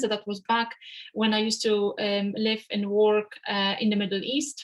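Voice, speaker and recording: A woman is speaking. Her pitch sits fairly high. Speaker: finance webinar presenter. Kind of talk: webinar presentation. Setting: video call. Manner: fast; hesitant with many fillers.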